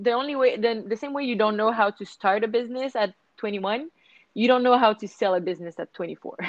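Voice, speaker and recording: In a Quebec accent, a woman speaks at a moderate pace with a fairly high pitch and ordinary pitch variation, recorded with a dry, close sound and no echo. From Montreal, Quebec. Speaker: surf and yoga business founder. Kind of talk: interview. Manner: hesitant, many fillers.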